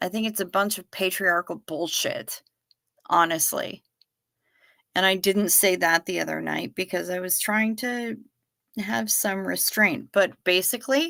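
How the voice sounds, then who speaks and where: A woman with an American accent speaks at a fairly slow pace in a bright, sharp tone with ordinary pitch variation. The sound is dry and close, with no echo. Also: medium pitch for a woman, very clean recording, silent background. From Duluth, Minnesota (northern Minnesota). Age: 50s. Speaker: livestreamer. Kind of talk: casual livestream chat reading viewer comments.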